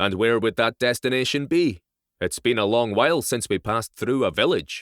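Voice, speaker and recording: In a put-on, gruff character voice, a man speaks at a medium pitch and moderate pace, recorded with a dry, close sound and no echo. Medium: read story. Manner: gruff, direct.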